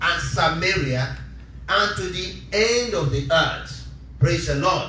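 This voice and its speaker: A man talks at a very slow pace. Light background noise and audible room echo surround his voice. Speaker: preacher. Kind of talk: sermon. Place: church.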